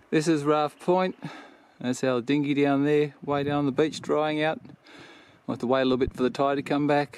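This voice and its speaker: A man at a moderate pace with fairly even intonation, the sound dry with no echo and light background noise. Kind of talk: casual vlog chat. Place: open country. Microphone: phone near.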